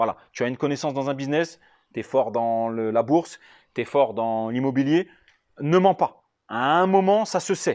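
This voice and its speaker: Against a quiet background, a man speaks at a fairly high pitch with lively intonation. He leaves long, frequent pauses. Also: moderate pace. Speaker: real estate investment trainer, YouTuber. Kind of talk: casual FAQ video, answering viewer questions. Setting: at home.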